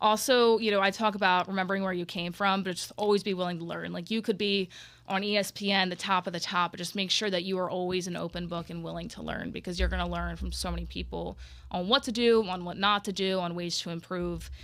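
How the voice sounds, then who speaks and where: Flat and monotone, a woman with an American accent speaks. Her pace is very fast. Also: medium pitch for a woman, very clean recording, silent background. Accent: Jersey Philly accent, comes out at times. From New Jersey / Philadelphia area. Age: 20s. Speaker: sports broadcaster. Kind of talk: casual chat.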